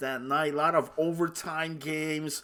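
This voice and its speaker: In a very clean recording with a silent background, a man with a European accent talks at a fairly high pitch. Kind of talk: sports broadcast host.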